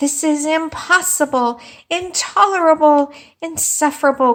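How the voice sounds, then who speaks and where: A woman's put-on character voice, high, squeaky, raised and projected, at a moderate pace. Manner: angry, disbelieving, shaking.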